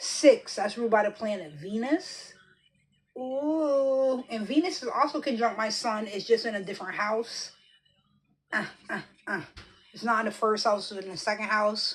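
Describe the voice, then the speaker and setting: Pausing long and often, a woman speaks at a moderate pace with a fairly high pitch, a somewhat breathy quality and lively intonation. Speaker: tarot reader and astrologer. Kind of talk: casual tarot reading monologue. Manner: animated.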